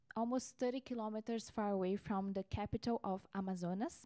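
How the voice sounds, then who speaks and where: Over a quiet background, a woman talks with a dark, mellow tone. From Brazil. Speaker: researcher. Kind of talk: panel presentation. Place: meeting room. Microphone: handheld.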